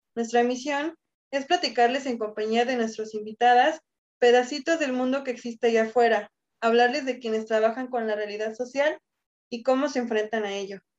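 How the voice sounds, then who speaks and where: The woman's pitch is high and her intonation fairly even. She talks at a moderate pace. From Cabo San Lucas, Baja California Sur, Mexico. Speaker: podcast co-host, university student. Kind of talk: scripted show intro.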